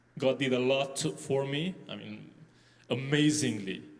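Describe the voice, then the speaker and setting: Ordinary pitch variation at a fairly slow pace, with audible room echo. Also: man. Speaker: pastor on church discussion panel. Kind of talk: panel discussion. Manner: halting with repetitions.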